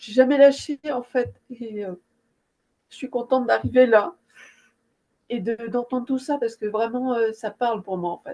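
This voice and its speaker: A woman's high, dark, mellow voice with ordinary pitch variation, at a fairly slow pace with long, frequent pauses and big swings in loudness. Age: 60s. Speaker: hypnosis session client. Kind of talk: emotional testimony after a session. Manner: halting, many hesitations.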